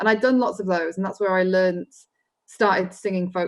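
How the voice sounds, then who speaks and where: Speaking very fast in a Welsh accent, a woman keeps a medium pitch and fairly even intonation. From mid Wales. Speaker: folk musician. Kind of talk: interview.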